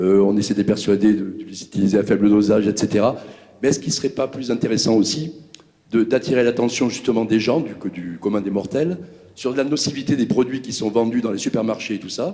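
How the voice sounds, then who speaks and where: Speech comes at a fairly quick clip, and the pitch moves up and down in an ordinary way. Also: man, medium pitch for a man. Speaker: audience member. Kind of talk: audience question. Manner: fast.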